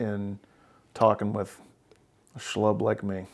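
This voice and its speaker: Speaking with an American accent, this man's voice is fairly low in pitch. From Oklahoma. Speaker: therapist and podcast host. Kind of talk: therapy session conversation.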